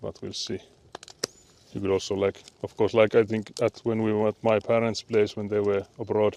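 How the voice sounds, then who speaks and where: A man speaks in a flat monotone with a Finnish accent. The sound is dry and close with no echo, though background noise is noticeable. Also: fairly low pitch for a man, moderate pace. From Finland. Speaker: livestreamer. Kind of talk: casual chat.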